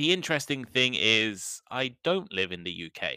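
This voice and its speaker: Recorded very cleanly against a silent background, with a dry, close sound and no echo, a man with an English accent speaks fairly slowly at medium pitch, his bright, sharp tone marked by very wide pitch swings. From England, Midlands. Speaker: podcast host, English teacher. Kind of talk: educational podcast monologue. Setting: home recording with cheap microphone. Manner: clear, measured pace for learners.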